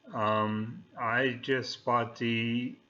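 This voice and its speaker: A medium-pitched man's voice with a bright, sharp tone. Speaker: amateur radio operator. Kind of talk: casual talk to camera. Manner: halting with many fillers.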